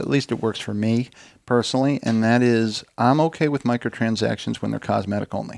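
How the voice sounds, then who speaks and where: Speaking at a fairly quick pace with fairly even intonation, a man at medium pitch has an ordinary speaking voice, recorded dry and close with no echo, very clean, against a silent background. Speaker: podcast host. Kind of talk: casual chat.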